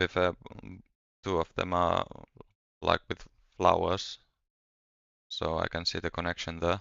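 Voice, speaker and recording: Relaxed in tone, a man with a non-native accent speaks at a fairly slow pace in a very deep, low pitch, his intonation monotone and flat and his speech marked by long, frequent pauses. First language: not English. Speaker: gaming streamer. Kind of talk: casual live-stream chat. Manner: relaxed, hesitant with fillers.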